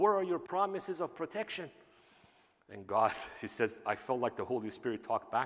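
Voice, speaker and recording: With a Persian accent, a man speaks at a moderate pace using lively intonation. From Iran. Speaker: pastor. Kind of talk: sermon. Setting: church.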